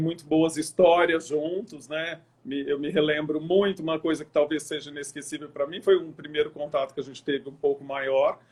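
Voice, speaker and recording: His voice sits fairly high in pitch. The man keeps a moderate tempo. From interior of São Paulo state (Araçatuba), Brazil, later Triângulo Mineiro. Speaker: event planner and online show host. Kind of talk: interview.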